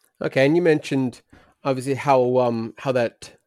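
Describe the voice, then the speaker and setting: In a very clean recording with a silent background and a dry, close sound with no echo, an ordinary speaking voice moves at a moderate pace with fairly even intonation. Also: man. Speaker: podcast co-host. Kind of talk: casual podcast chat.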